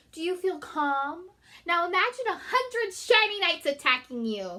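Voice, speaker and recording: A woman performs a squeaky, put-on character voice at an extremely high pitch. Her pitch swings very widely at a moderate pace. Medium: read story. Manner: nervous, stammering.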